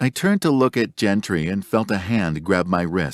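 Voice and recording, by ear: Aloud reading, natural in voice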